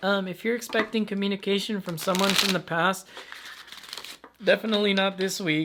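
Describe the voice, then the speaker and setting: Amid noticeable background noise, a man with a high pitch uses a raised, projected voice, talking at a moderate pace in a monotone, flat intonation with long, frequent pauses. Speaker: tarot reader. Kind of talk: tarot reading. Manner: casual, with stutters and fillers.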